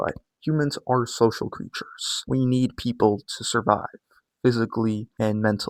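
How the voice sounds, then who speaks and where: Quiet, medium-pitched male speech at a moderate pace with ordinary pitch variation, the sound dry and close with no echo. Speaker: YouTuber / fitness coach. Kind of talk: vlog monologue. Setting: at home, early morning. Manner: casual.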